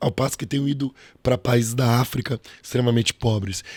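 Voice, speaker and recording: Somewhat breathy and at a medium pitch, a man talks at a moderate pace with ordinary pitch variation, the sound dry and close with no echo. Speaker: pastor. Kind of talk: preaching-style interview talk. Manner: emphatic, rhetorical.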